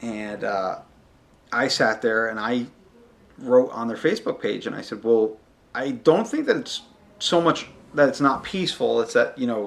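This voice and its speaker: Long, frequent pauses in a man's moderately paced speech. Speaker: podcast host. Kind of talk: solo podcast monologue. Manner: loud.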